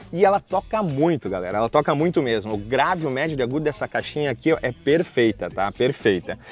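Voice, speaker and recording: A man at a very fast pace, with faint music in the background and a dry sound without echo. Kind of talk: casual product tutorial. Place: waterside.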